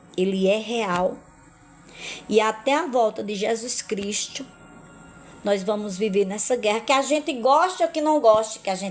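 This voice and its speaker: A woman's fairly high voice with lively intonation, fairly slow and broken by long, frequent pauses, over music in the background. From Brazil, Paraíba (Northeast). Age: 50s. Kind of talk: religious testimony live stream. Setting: live stream.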